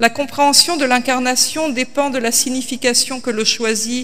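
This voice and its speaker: A woman with a high pitch speaks at a very slow pace with fairly even intonation. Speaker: pastor. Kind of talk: sermon. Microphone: podium.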